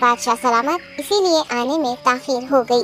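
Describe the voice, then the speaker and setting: Clear music plays behind a female-sounding, high-pitched cartoonish character voice delivered at a moderate pace. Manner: polite, deferential.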